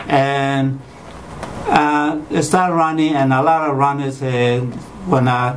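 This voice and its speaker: Speaking at a fairly slow pace with fairly even intonation, a man is heard in a room with audible echo and noticeable background noise. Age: 60s. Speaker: marathon runner, patient. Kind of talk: testimony.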